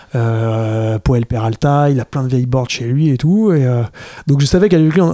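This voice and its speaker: Lively intonation carries a man's dark, mellow tone in a dry, close sound with no echo. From France, Fontainebleau. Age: 30s. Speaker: skateboarder and filmmaker. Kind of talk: casual chat. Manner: halting, many repetitions.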